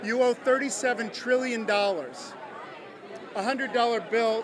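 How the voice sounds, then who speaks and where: Speech at a moderate pace over crowd noise in the background. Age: 60s. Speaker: political supporter. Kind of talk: interview. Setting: election watch party event hall. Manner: animated.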